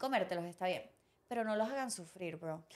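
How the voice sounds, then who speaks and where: A woman's animated voice at a fairly quick pace. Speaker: podcast co-host. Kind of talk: casual chat. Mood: indignant, ranting. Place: studio. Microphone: studio mic.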